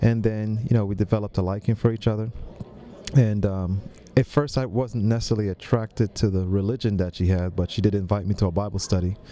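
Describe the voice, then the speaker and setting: A man talks at a very fast pace and a fairly low pitch with fairly even intonation, over light background noise. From Jamaica, raised in New York City. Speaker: director of a health ministry lifestyle center; podcast guest. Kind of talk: interview. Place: studio. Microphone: studio mic.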